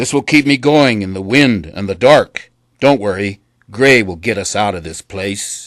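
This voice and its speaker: A put-on character voice from a man, pitched fairly low, delivered at a moderate speed. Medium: read story. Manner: gruff, plainspoken.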